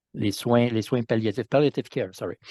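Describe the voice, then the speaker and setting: A man talks in a medium pitch with a dark, mellow tone. His intonation is fairly even, and the background is quiet. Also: dry, close sound with no echo. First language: French. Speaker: politician. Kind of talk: interview. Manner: halting.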